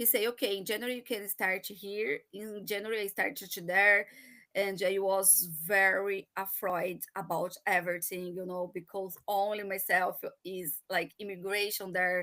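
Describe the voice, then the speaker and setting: Talking fairly slowly in a Brazilian accent, a woman has a medium pitch, a bright, sharp tone and fairly even intonation. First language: Portuguese. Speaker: marketing professional, immigrant. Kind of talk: personal story in a live chat. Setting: live online broadcast. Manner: halting, hesitant.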